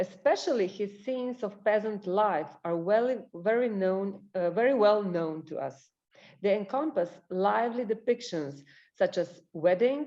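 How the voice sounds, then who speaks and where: A woman speaks in a Slavic accent at a fairly slow pace. Her tone is dark and mellow. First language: Slovenian. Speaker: librarian and researcher. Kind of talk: presentation.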